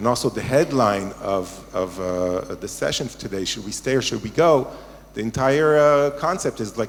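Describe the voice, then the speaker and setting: A man speaks with a slight American accent at a medium pitch. His pace is fairly quick, with ordinary pitch variation. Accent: slightly American. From Israel, American parents. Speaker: rabbi, panel audience participant. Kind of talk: panel discussion comment. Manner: halting, many fillers.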